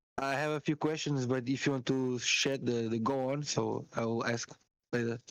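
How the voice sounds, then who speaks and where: This man has a non-native accent and a medium pitch. He speaks at a moderate pace in a monotone, flat intonation. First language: not English. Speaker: caller. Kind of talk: casual chat. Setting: voice call. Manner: halting.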